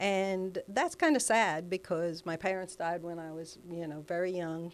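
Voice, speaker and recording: A woman speaks at a moderate pace in an American accent, her pitch fairly low. Hers is a plain, everyday voice with fairly even intonation. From New Jersey (Elizabeth). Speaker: life coach. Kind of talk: interview conversation.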